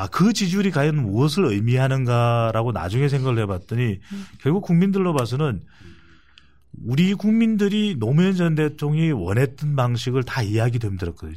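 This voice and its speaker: A man with a somewhat breathy, dark, mellow tone speaks at a fairly quick pace, his medium pitch moving in very wide swings. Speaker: polling analyst. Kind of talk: political talk show discussion.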